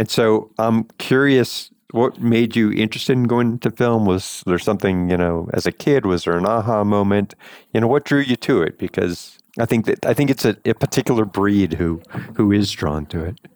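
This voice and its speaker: A man with a West Coast accent, fairly low in pitch, at a moderate pace with ordinary pitch variation, in a very clean recording with a silent background and a dry, close sound with no echo. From Los Angeles. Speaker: lawyer and podcast co-host. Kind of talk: interview.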